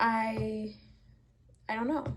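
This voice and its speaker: There is vocal fry in this woman's fairly high-pitched voice. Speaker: artist and vlogger. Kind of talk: casual vlog talk to camera. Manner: pausing and rambling.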